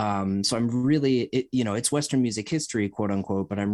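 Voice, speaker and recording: A man's voice in an American accent, ordinary pitch variation, quiet background. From US Midwest, Cleveland area. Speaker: jazz drummer and musicologist. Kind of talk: casual chat. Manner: halting, many fillers.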